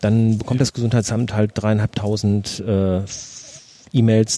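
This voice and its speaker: Over noticeable background noise, a man talks at a moderate pace in a fairly low, flat monotone, the sound dry and close with no echo. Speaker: podcast host. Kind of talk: casual chat. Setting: outdoors in a garden.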